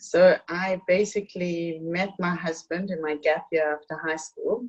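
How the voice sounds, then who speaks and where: A woman talks in a South African accent. Her pitch is fairly low, with ordinary variation. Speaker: author and community hostess. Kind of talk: interview conversation.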